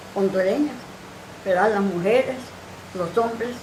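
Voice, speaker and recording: There is audible room echo and noticeable background noise as a woman speaks at a medium pitch with ordinary pitch variation. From Honduras, El Progreso. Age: 80s+. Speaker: retired teacher and activist. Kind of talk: TV interview.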